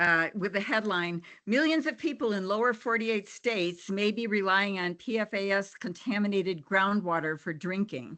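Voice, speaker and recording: With hardly any pauses, a woman talks in a bright, sharp tone at medium pitch against a quiet background. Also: ordinary pitch variation, moderate pace. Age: 70s. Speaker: public commenter, retired kindergarten teacher. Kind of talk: public comment testimony at a hearing.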